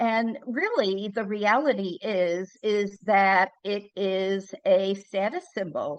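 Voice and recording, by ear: A woman speaks at a slow pace with medium pitch. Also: ordinary pitch variation.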